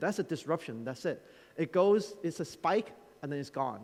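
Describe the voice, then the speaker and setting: Animated in tone and lively in intonation, a man speaks at a high pitch. His pace is fairly quick. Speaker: conference keynote speaker. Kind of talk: conference talk. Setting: stage with audience. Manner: fast.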